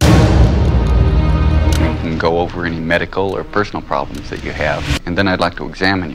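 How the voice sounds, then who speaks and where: Against loud music in the background, a man speaks at a moderate pace with hardly any pauses. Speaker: physician assistant. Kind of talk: educational film dialogue. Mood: calm, friendly. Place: office. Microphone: old recording.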